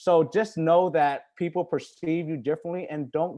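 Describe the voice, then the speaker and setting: A man speaks in a non-native accent with a dark, mellow tone. The background is quiet. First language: not English. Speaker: alumni panelist. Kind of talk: panel discussion. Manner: casual, filler-heavy.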